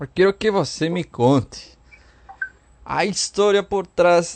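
A man speaking at a very slow pace. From outside Brazil. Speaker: radio host. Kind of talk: radio show.

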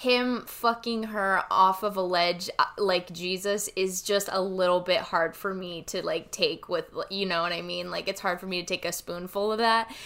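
A woman speaks at a medium pitch and moderate pace with hardly any pauses. Her tone is bright and sharp. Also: fairly even intonation. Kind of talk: casual chat.

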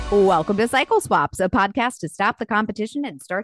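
A woman talking at a fairly quick pace with lively intonation, a plain, everyday voice, and a dry, close sound with no echo. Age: 30s. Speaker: podcast host and teacher. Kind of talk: casual chat.

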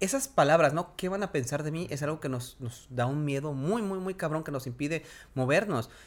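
In a very clean recording with a silent background, a man with a Mexican accent talks at a fairly quick pace with ordinary pitch variation. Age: 40s. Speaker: podcast co-host, television presenter. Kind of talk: casual chat.

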